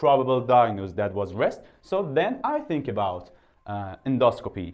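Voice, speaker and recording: The man's medium-pitched voice moves at a moderate pace with lively intonation. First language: Persian. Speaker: doctor. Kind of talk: medical lecture. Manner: halting, many filler sounds.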